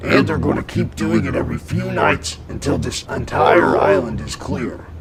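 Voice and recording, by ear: A man's put-on character voice, low in pitch with big pitch swings and vocal fry, at a moderate pace over faint background noise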